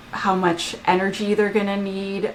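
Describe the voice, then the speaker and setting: Over noticeable background noise, a woman speaks in an animated tone at medium pitch. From Canada. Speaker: application security expert and author. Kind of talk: podcast interview.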